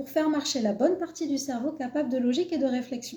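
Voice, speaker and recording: Her voice has a dark, mellow tone, and this woman speaks at a high pitch with ordinary pitch variation. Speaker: cat behaviour coach. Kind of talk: live stream talk.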